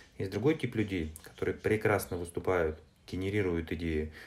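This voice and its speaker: Somewhat breathy and fairly low in pitch, a man speaks at a moderate pace with ordinary pitch variation. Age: 40s. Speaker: entrepreneur and publisher. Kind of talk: interview. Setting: remote call.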